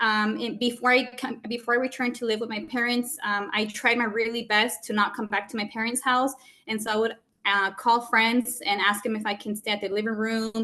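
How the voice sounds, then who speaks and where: A woman's fairly high, bright, sharp voice at a fairly quick pace, with monotone, flat intonation. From US, Mexican migrant family. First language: Spanish. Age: 30s. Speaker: business owner giving a presentation. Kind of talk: testimony presentation.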